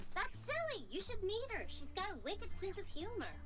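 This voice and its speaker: Through loud background noise, a put-on character voice with an extremely high pitch moves at a fairly quick pace. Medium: machinima. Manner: bubbly, chatty.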